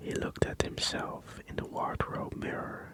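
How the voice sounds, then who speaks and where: A man whispering over noticeable background noise. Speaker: ASMR creator. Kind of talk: ASMR book reading. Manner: whispered.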